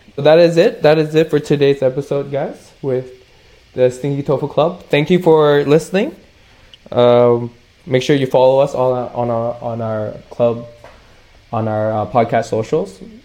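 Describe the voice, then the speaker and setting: Fairly high-pitched male voice with a Canadian accent, a fairly slow pace, ordinary pitch variation and noticeable background noise. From Canada. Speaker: podcast co-host. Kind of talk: casual chat.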